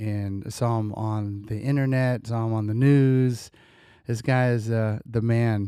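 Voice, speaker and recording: A man with an American accent speaks at a fairly slow pace in a medium pitch, his tone dark and mellow, his intonation monotone and flat, on a very clean recording with a silent background. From Bay Area, California. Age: 40s. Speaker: podcast host, former hip-hop artist. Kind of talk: casual interview.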